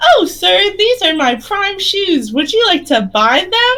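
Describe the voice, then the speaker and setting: A squeaky put-on character voice, raised and projected, with very wide pitch swings and a fairly slow pace. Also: woman, extremely high pitch for a woman. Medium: actual play. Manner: repetitive, vacantly cheerful.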